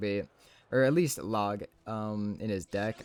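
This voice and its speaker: The speaker is a man with a fairly low pitch. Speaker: mobile game commentator. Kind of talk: gameplay commentary. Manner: fast; animated.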